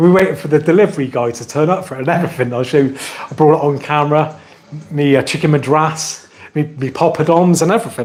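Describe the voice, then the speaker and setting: A man speaks at a fairly quick pace in a fairly high voice with ordinary pitch variation. Noticeable noise runs in the background. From Somerset, England. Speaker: tech YouTuber. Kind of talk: live stream Q&A, casual chat. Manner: animated, chatty.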